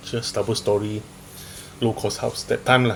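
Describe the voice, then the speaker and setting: With a Malaysian accent, a man mumbles at a moderate pace and medium pitch amid noticeable background noise. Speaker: stand-up comedian. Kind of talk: stand-up. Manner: mumbling; halting.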